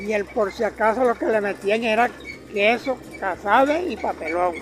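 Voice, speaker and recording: A man talks in a high voice while noticeable background noise carries on. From Venezuela, llanos (plains). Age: 80s+. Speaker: customer. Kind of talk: casual interview.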